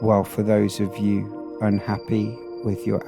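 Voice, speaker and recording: A man speaks with music playing in the background. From Britain. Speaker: hypnotherapist. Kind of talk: sleep hypnosis. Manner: slow, soft-spoken.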